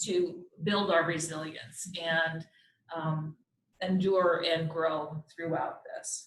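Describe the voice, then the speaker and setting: With a normal speaking voice, a woman talks at a fairly low pitch with fairly even intonation. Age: 60s. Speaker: doctor giving community health talk. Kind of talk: presentation. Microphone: too far from mic, hard to hear.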